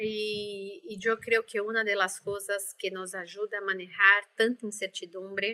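A woman speaks in a Brazilian accent at a fairly high pitch. Her tone is bright and sharp, and her pace is fairly slow. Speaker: life coach. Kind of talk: interview.

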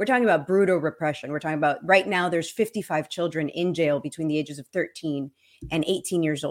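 This woman has a normal speaking voice, fairly low in pitch with ordinary pitch variation. She talks at a fairly quick pace. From Cuban-American, Miami. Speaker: guest speaker on crypto and Cuba. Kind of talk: casual interview chat. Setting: video call.

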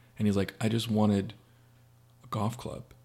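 The man's voice is fairly low in pitch with ordinary pitch variation. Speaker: youth group leader. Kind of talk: casual chat.

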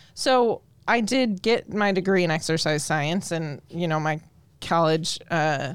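In a very clean recording with a silent background, a woman with a fairly low pitch and ordinary pitch variation speaks in an unremarkable speaking voice. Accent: American. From Colorado. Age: 30s. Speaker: exercise physiologist. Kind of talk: casual interview chat.

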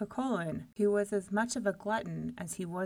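Lively intonation in a natural reading voice

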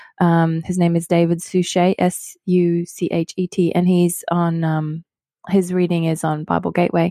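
A woman talks at a moderate pace in a dark, mellow tone with flat, monotone intonation. The recording is very clean, dry and close, with a silent background and no echo. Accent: Australian. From Australia. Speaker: pastor. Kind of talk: casual chat about scripture.

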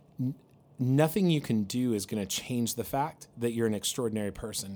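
A normal speaking voice at a fairly quick pace with ordinary pitch variation. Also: man. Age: 40s. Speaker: pastor. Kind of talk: casual chat.

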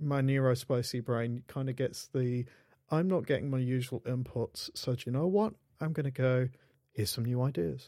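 This is a man with a British accent. His tone is dark and mellow. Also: medium pitch for a man, ordinary pitch variation, moderate pace. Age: 40s. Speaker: podcast host, indie developer. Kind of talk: casual chat.

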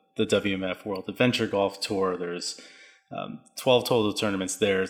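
Music plays in the background as a man speaks at a moderate pace in a fairly low voice. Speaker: podcast co-host. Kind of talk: podcast chat.

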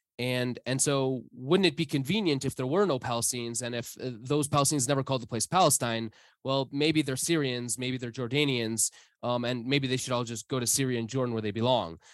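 Against a quiet background, a man with a Midwestern US accent talks at a fairly quick pace and a medium pitch. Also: ordinary pitch variation. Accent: US Midwest. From US Midwest. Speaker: historian. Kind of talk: interview. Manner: halting with many fillers and repetitions.

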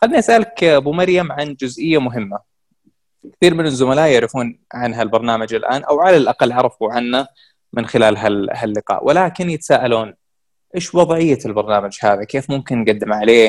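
The recording is very clean with a silent background. A man with an unremarkable speaking voice talks at a moderate pace. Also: medium pitch for a man, lively intonation. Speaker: podcast host interviewer. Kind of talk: interview conversation.

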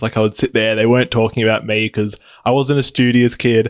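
A man talks in a flat monotone with an Australian accent. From Australia, Adelaide. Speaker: app developer. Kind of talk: interview. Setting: video call.

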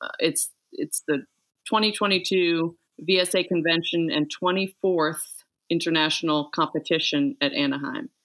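A woman with a bright, sharp tone talks at a moderate pace with ordinary pitch variation on a very clean recording with a silent background. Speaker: violin society board member. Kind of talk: casual interview.

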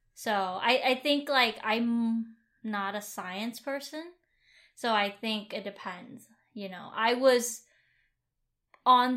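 At a very slow pace, a woman speaks in a fairly high pitch with a bright, sharp tone and ordinary pitch variation. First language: Vietnamese. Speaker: podcast co-host. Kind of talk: casual chat.

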